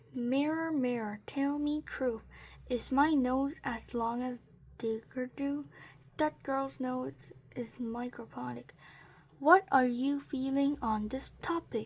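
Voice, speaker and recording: A croaky, hissing put-on character voice speaks at a fairly slow pace with fairly even intonation. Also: woman, high pitch for a woman. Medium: read story. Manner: hissing, snappish.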